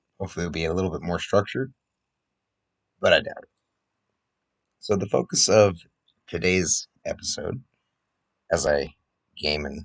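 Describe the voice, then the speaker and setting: A man's very deep, low voice at a moderate pace, with lively intonation and vocal fry. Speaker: gaming philosophy streamer; inventor. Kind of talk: casual commentary while gaming.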